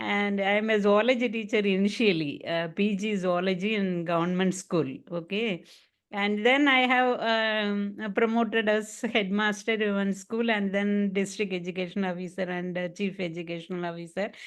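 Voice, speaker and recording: Against a quiet background, a woman with a Tamil accent speaks at a moderate pace and medium pitch with fairly even intonation and hardly any pauses. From Tamil Nadu, India. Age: 60s. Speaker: retired education official and yoga teacher. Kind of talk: online English practice interview. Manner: halting, many fillers.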